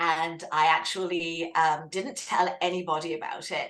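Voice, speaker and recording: A woman with an English accent over noticeable background noise. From southern England. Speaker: author and writing coach. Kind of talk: interview.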